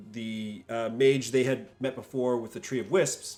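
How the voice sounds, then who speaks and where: A man speaks with music in the background. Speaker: game master. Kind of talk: casual chat. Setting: recorded stream. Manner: hesitant, many fillers.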